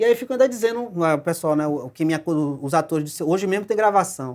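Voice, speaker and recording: On a very clean recording with a silent background, a man talks at a very fast pace, his high pitch making very wide swings. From Brazil, Bahia (Salvador). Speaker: film director and screenwriter. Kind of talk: talk show interview.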